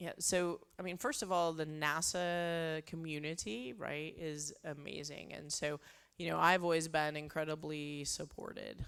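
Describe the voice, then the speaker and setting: Speaking at a fairly slow pace with fairly even intonation, a woman with a Texan accent has a very deep, low pitch, on a very clean recording with a silent background. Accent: Texan American. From Texas, small town. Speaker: space flight director. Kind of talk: Q&A interview.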